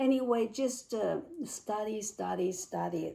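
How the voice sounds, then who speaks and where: Speaking at a fairly slow pace with a Chinese accent, a woman is heard against noticeable background noise. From China (Beijing). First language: Mandarin Chinese. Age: 60s. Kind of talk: interview answer. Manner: hesitant, searching for words.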